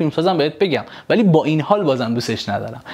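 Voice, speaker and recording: Very fast speech amid noticeable background noise. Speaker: film critic YouTuber. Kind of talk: film review monologue. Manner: quiet, low volume; casual, conversational.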